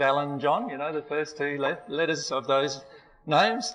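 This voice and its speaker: This man has a fairly high pitch and an Australian accent. He speaks at a moderate pace, and room echo is audible. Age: 40s. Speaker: spiritual teacher. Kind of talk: seminar lecture. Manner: hesitant, many fillers.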